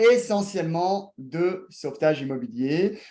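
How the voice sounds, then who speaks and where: Speaking very slowly, a man has a high pitch and a dark, mellow tone. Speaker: real estate investment workshop host. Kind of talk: online workshop presentation. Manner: hesitant, many fillers.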